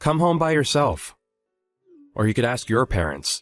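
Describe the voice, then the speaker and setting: A man in a put-on character voice, medium in pitch, with very wide pitch swings, a moderate pace and faint music in the background. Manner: angry, curt.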